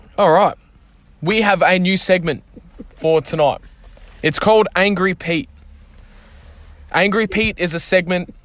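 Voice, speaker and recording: Using an animated tone and an Australian accent, a man with a high pitch speaks at a fairly slow pace, leaving long, frequent pauses. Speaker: football club podcast host. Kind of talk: casual podcast chat.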